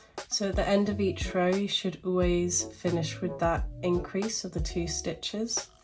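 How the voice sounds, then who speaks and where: Music plays behind the speaker. She is a woman. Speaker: crochet tutorial maker. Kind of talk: casual tutorial talk to camera.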